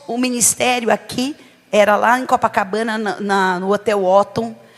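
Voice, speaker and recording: This woman has a São Paulo accent. Her pitch is fairly high, with ordinary variation. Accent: São Paulo (paulista). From São Paulo, Brazil. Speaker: bishop, preacher. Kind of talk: sermon. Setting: church service.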